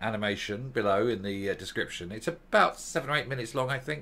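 This man's voice sits at a fairly low pitch. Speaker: video commentator. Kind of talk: casual commentary. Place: home room. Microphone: studio mic.

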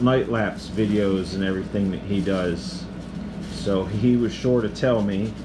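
A man talks at a fairly slow pace. His pitch varies in an ordinary way over noticeable background noise. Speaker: gear reviewer. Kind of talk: casual unboxing chat. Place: home room.

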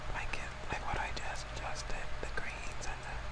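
Whispering at a moderate pace, with noticeable background noise. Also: man. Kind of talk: ASMR tutorial. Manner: soft-spoken, whispering.

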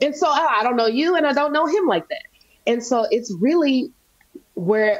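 An animated woman with an American accent speaks at a moderate pace. Her pitch swings very widely. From US South, Nashville, Tennessee. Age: 30s. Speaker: faith and wellness entrepreneur. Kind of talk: casual interview chat. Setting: video call. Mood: earnest, reflective about faith. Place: home room. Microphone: video call.

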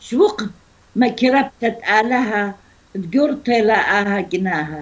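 The pace is very slow. A woman speaks with lively intonation. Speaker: storyteller. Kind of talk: reading a folk tale. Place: home room. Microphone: video call.

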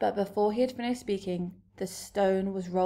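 Reading aloud in a natural voice, with ordinary pitch variation

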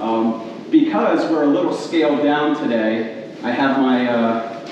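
A man at a fairly slow pace with ordinary pitch variation, strong room echo and light background noise. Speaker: preacher. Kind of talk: sermon. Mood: warm, light-hearted opening. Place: hall. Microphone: camera far.

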